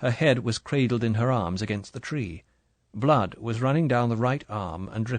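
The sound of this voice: Against a quiet background, the speaker reads in an unforced voice.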